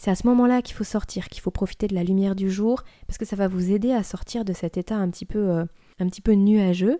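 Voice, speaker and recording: Recorded very cleanly against a silent background, a woman with a medium pitch and a dark, mellow tone talks at a fairly quick pace with fairly even intonation. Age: 30s. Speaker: podcast host sharing sleep advice. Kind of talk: solo podcast talk, advice.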